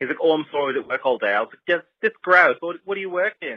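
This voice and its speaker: Very wide pitch swings mark this very fast delivery with an Australian accent. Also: man. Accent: fake Australian accent, put on. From United States. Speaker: listener leaving voicemail. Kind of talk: voicemail story. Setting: phone voicemail.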